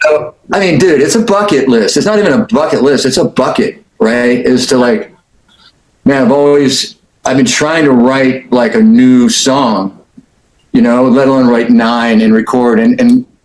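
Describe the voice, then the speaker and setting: Male speech at a medium pitch and moderate pace, with lively intonation. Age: 50s. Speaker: instrumental guitarist. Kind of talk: casual interview. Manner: animated.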